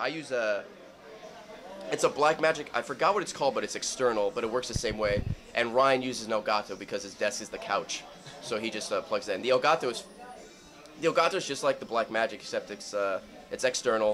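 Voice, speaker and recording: A man speaks at a very fast pace with light background noise behind him. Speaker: interviewee, video creator. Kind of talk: interview answer. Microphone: handheld.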